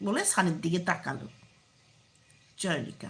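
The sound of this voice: Amid audible room echo, a woman with a fairly low pitch and vocal fry speaks at a fairly slow pace, her pitch swinging widely.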